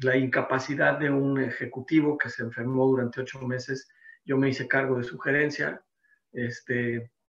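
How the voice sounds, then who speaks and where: Monotone, flat intonation in a man's medium-pitched voice. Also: moderate pace. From Mexico City. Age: 60s. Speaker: insurance and business consultant, seminar presenter. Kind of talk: seminar presentation.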